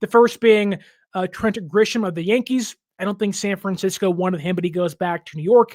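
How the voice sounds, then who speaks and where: A man's high voice in an American accent, ordinary pitch variation, dry and close with no echo, in a very clean recording with a silent background. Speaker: sports podcast host. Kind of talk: solo podcast commentary.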